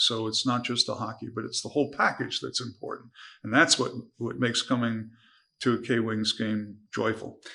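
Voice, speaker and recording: Over a quiet background, a man with a medium pitch and a bright, sharp tone speaks at a moderate pace with vocal fry and fairly even intonation. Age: 70s. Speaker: sports team owner. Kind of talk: interview.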